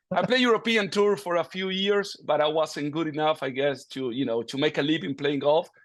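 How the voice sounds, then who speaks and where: A man with an Argentine accent speaks in a fairly high voice with lively intonation. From Argentina, Buenos Aires. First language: Spanish. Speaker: golf coach. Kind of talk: interview.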